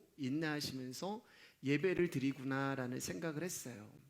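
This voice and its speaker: A man talks at a fairly slow pace. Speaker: pastor. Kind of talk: sermon. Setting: church service. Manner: gets loud, shouts while preaching.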